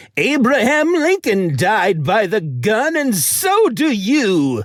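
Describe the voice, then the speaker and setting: A put-on character voice with fairly high pitch and very wide pitch swings. The delivery is very slow. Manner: menacing.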